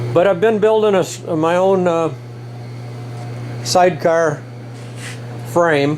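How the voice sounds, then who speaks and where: A man with a high pitch and ordinary pitch variation speaks with long, frequent pauses against noticeable background noise. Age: 70s. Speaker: motorcycle builder. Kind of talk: workshop tutorial. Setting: workshop. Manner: casual, with fillers and hesitations.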